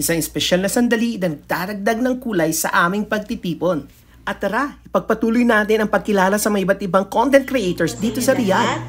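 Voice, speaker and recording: Her voice is somewhat breathy, at a medium pitch for a woman. The pitch varies in an ordinary way. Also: fairly quick pace, hardly any pauses. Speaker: vlogger. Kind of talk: scripted narration. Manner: upbeat.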